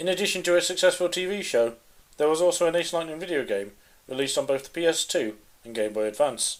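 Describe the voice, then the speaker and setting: A man talks very fast at a high pitch with lively intonation. His loudness swings a lot. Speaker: comedic video essayist. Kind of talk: comedic video essay narration.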